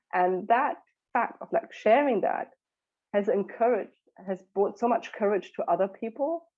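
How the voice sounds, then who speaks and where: A woman with a German accent, fairly high in pitch, at a moderate pace, with very wide pitch swings. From Germany. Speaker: mentor for mothers. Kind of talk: podcast interview.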